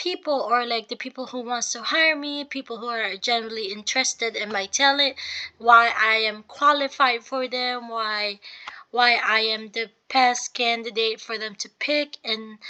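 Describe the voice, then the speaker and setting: Fairly high-pitched and bright with a sharp edge, a woman's voice moves at a moderate pace with fairly even intonation. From Philippines. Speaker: university student. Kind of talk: portfolio presentation. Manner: halting, many fillers.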